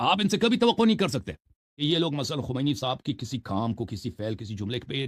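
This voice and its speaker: A man speaks in a somewhat breathy voice. His pitch makes very wide swings. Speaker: Shia religious scholar. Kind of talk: religious commentary monologue. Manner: harsh, sharp tone.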